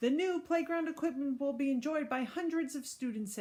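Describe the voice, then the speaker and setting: Putting on a character voice, a woman talks at a fairly quick pace in a high pitch with ordinary pitch variation. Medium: read story. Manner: over-eager, carried away.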